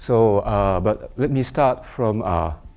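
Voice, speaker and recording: A man with a Japanese accent has a fairly low, dark, mellow voice and ordinary pitch variation. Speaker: mathematician. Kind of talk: lecture. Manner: halting.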